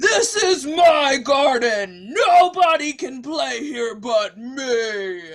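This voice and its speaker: Using a put-on character voice, a man sounds gruff at an extremely high pitch, speaking at a very slow pace with hardly any pauses. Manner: angry, territorial.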